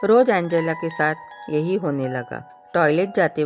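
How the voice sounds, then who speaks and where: Music plays in the background as a woman speaks in a very deep, low voice. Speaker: voice over artist. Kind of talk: horror story narration.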